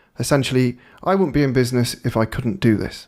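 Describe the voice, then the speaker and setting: A man speaks with a British accent at a medium pitch. His pitch varies in an ordinary way. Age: 30s. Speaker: digital marketing agency owner. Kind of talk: webinar presentation. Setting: live webinar. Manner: casual, with fillers.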